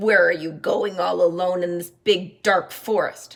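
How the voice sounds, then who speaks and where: Using a put-on character voice, a woman speaks at a medium pitch and a fairly slow pace. Her voice is raspy and growling. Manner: grinning, sly, menacing.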